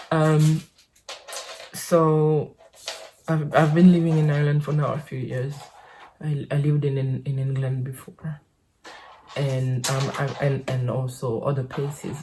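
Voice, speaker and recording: Very deep and low in pitch, a woman's somewhat breathy voice has a dark, mellow tone and a monotone, flat intonation, moving at a fairly slow pace with long, frequent pauses. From French Caribbean island. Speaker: podcaster. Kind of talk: casual monologue. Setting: home office. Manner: halting, many fillers and repetitions.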